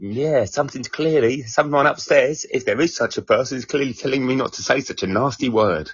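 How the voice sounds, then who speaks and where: A man speaks with an Essex accent at a fairly quick pace. He takes hardly any pauses. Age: 40s. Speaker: stand-up comedian. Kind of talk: casual chat.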